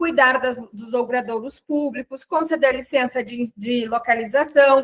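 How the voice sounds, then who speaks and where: Raising and projecting her voice, a woman speaks very slowly at a high pitch, with a bright, sharp tone and fairly even intonation. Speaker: teacher. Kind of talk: lecture. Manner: casual, conversational.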